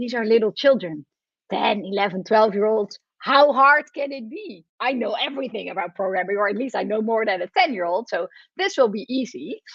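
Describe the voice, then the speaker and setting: A woman with a Dutch accent, fairly high in pitch, fairly quick, and lively in intonation. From Netherlands. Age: 40s. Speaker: professor. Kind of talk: lecture.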